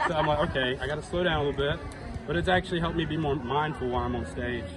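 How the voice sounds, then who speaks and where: Very fast speech comes from a man with an American accent. Audible room echo and noticeable background noise are present. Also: fairly high pitch for a man, ordinary pitch variation. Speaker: country singer. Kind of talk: casual interview. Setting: music venue.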